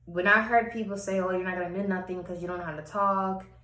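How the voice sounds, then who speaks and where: Her voice is fairly low-pitched. The woman's speech carries audible room echo. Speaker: personal vlogger. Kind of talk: personal testimony monologue.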